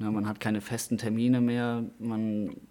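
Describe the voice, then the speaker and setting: Medium pitch from a man, on a very clean recording with a silent background. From Westerwald, Germany. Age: 20s. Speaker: table tennis livestream commentator. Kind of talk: casual interview.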